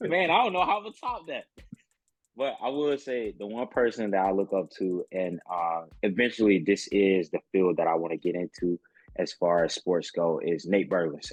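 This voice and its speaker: In an American accent, a man talks at a moderate pace, the sound dry and close with no echo. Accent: Southern US, once strong, reduced. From Mississippi, US South. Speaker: sports broadcaster and producer. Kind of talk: casual chat.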